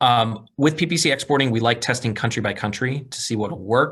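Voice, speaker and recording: The background stays quiet. His pitch moves up and down in a normal way as the man talks. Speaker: digital marketing presenter. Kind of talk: webinar presentation. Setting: online webinar. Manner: fast.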